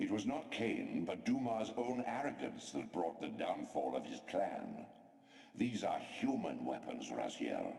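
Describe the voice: A man puts on a character voice, pitched low with vocal fry and a slightly mellow tone. His pitch swings widely as he speaks at a fairly slow pace.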